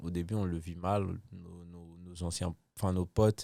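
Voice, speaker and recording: In a dark, mellow tone, a man speaks fairly slowly with a very deep, low pitch and monotone, flat intonation. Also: very clean recording, silent background. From Ivory Coast, Abidjan. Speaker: comedian. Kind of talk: casual chat.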